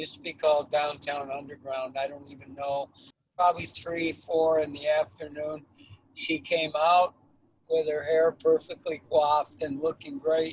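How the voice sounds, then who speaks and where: The intonation is monotone and flat, with a somewhat breathy sound. Loudness swings widely. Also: man, fairly high pitch for a man, moderate pace. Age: 70s. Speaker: caterer. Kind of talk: interview storytelling.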